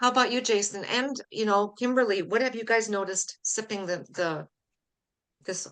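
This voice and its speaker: A woman speaks with a Canadian accent at a fairly quick pace. Her tone is enthusiastic, and her pitch varies in an ordinary way. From Canada. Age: 60s. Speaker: weight loss coach, podcast host. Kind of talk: podcast interview. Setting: live stream.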